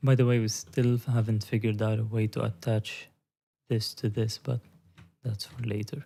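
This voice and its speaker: A man's medium-pitched, somewhat breathy voice at a moderate pace, with monotone, flat intonation. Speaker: CAD design streamer. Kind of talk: live tutorial. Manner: casual, thinking aloud.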